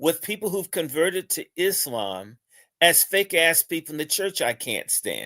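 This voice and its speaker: With an American accent, a man speaks at a high pitch in a bright, sharp tone. The sound is dry and close with no echo, in a very clean recording with a silent background. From New York, Brooklyn (East Flatbush). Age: 60s. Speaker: online talk show host. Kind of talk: opinionated political commentary.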